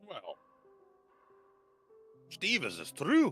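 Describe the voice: With faint music in the background, a man puts on a character voice with a Scottish accent.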